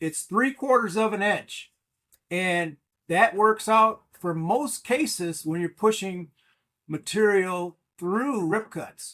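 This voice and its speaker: A man with a high pitch and a bright, sharp, relaxed tone speaks at a very slow pace. His pitch varies in an ordinary way. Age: 60s. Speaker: woodworker. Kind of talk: casual how-to tutorial talk. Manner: relaxed, hesitant with fillers.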